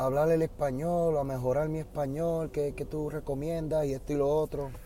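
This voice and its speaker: A man with a Puerto Rican accent speaks at a moderate pace in a fairly high pitch with a dark, mellow tone. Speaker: podcast host and Spanish teacher. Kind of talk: casual monologue. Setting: in a car.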